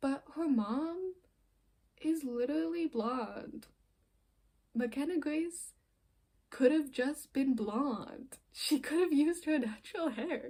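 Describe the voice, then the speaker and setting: A woman talks at a high pitch with ordinary pitch variation. Her pace is very slow, with long, frequent pauses. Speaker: film reviewer. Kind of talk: casual video review monologue. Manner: halting, self-correcting; animated.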